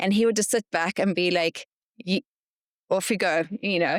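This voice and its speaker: A woman with a slight South African accent talks at a fairly quick pace, medium pitch and ordinary pitch variation. Her very clean recording has a silent background and a dry, close sound with no echo. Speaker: podcast host. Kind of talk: interview conversation.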